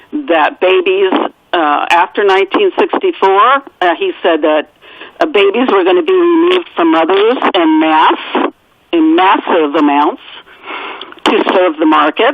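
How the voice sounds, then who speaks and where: A woman at a fairly slow pace and medium pitch, with very wide pitch swings and very even loudness, over noticeable background noise. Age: 60s. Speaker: author. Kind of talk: radio interview.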